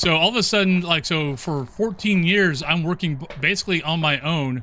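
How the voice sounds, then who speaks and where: An American-accented man speaks with a high pitch and lively intonation. Noticeable background noise runs under his voice. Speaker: video game streamer. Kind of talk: casual live gaming stream.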